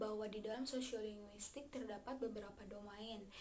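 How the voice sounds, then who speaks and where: In a West Javanese accent, a woman speaks at a moderate pace with a fairly high pitch and monotone, flat intonation, amid audible room echo and noticeable background noise. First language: Sundanese (speaking Indonesian). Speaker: university student. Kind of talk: class presentation. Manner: halting, many fillers.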